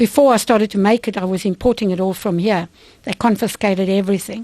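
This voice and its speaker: A woman speaks at a very fast pace with fairly even intonation. The background is quiet and the sound dry and close with no echo. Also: medium pitch for a woman. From South Africa. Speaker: vitamin company owner. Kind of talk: radio interview.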